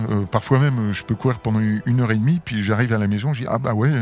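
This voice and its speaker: A man's medium-pitched voice comes across dry and close, with no echo. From France, moved often incl. abroad. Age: 60s. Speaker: sports club president and business executive. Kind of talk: interview. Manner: hesitant, many fillers.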